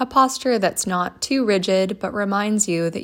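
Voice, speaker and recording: On a very clean recording with a silent background, a woman in an ordinary speaking voice speaks at a medium pitch and fairly slow pace with ordinary pitch variation. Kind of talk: guided meditation. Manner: slow, calm and gentle, with long pauses; soothing, soft-spoken.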